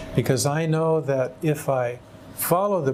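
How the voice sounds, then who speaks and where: With music in the background, a man speaks with an American accent. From California. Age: 60s. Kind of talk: testimony. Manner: halting.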